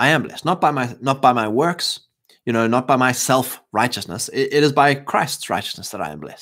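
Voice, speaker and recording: A man with a South African accent speaks at a medium pitch and a fairly quick pace, with ordinary pitch variation. His loudness swings widely, in a very clean recording with a silent background. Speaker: podcast host. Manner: rambling, filler words, animated.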